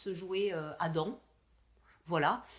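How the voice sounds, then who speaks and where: Delivered very slowly, the speech keeps an ordinary amount of pitch variation. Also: woman. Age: 50s. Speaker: podcast co-host. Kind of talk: interview. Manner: halting.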